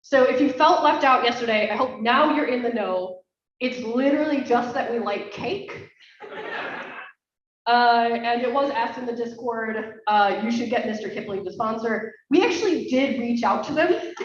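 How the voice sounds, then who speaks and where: A woman's high-pitched voice with an American accent, ordinary pitch variation, a moderate pace and audible room echo. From United States. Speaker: conference host. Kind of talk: conference opening remarks. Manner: casual, filler-heavy.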